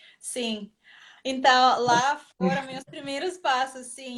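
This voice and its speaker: Her intonation fairly even, a woman with a Russian accent speaks at a very slow pace. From Russia, Moscow area. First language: Russian (speaking Portuguese). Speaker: ballroom dancer and teacher. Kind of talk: interview on a live stream. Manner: halting, searching for words.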